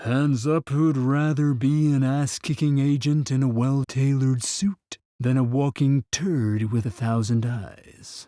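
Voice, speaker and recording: Using a cartoonish character voice at medium pitch, a man speaks at a fairly slow pace with hardly any pauses and very even loudness, in a very clean recording with a silent background. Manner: cold, contemptuous.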